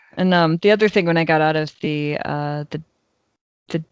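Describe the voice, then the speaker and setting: A woman speaks with an American accent at a very deep, low pitch. The sound is dry and close, with no echo. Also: quiet background. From Chicago. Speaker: podcast co-host. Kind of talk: casual chat. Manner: many fillers and hesitations.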